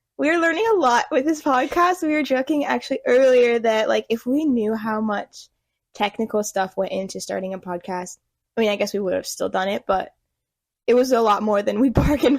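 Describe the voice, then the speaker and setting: A woman mumbles quietly at a fairly quick pace, her pitch high and her intonation lively, on a very clean recording with a silent background and a dry, close sound with no echo. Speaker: podcast host, photographer. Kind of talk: casual chat. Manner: mumbling.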